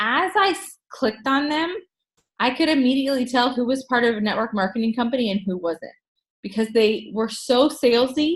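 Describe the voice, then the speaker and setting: With an American accent, a woman talks at a fairly quick pace in a high pitch. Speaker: network marketing team leader. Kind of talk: group training talk. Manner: casual, halting with fillers.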